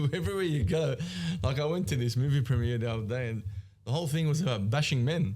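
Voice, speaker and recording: With an Australian accent, a man speaks very fast with lively intonation. His tone is dark and mellow, and somewhat breathy. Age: 30s. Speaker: business founder. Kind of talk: podcast interview. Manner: animated.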